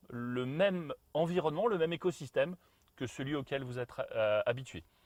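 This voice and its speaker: On a very clean recording with a silent background, a man speaks at a fairly slow pace with lively intonation. The sound is dry and close, with no echo. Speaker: brand product expert. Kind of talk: live stream Q&A. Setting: home garage turned studio. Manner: hesitant, many fillers.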